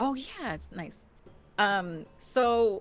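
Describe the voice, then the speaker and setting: The speaker has a slight New Jersey accent, with music playing in the background. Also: woman. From New Jersey, US. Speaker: actor and game master. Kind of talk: casual interview chat.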